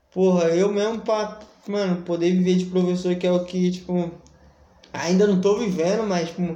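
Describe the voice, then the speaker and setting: A man at a moderate pace, high-pitched and monotone with flat intonation, amid audible room echo and noticeable background noise. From Brazil, São Paulo (city centre). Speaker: podcast host. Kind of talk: casual chat.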